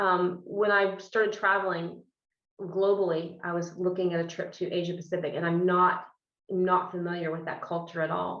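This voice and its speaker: With audible room echo around her, a woman talks in a fairly low pitch. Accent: Midwestern. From US Midwest, Illinois. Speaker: business executive. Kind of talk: interview. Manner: fast; animated.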